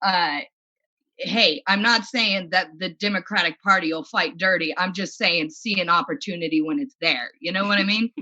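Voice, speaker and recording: Bright, sharp tone from a woman with a Midwestern accent, medium pitch and a moderate pace. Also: ordinary pitch variation. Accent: American Midwestern. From US Midwest, rural. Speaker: comedian. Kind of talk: stand-up.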